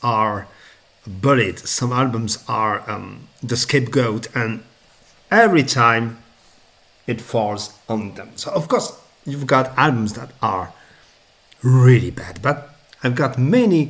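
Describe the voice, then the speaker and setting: A man's medium-pitched voice with a non-native accent, at a very slow pace with long, frequent pauses, big swings in loudness and ordinary pitch variation. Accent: noticeable non-native. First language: not English. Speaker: music reviewer. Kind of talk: casual video review. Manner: halting, many fillers.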